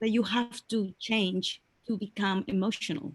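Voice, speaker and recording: A woman speaks at a medium pitch with a non-native accent. Her voice is somewhat breathy. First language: not English. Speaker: webinar participant asking a question. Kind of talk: Q&A in a webinar. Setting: online webinar. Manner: halting, many fillers.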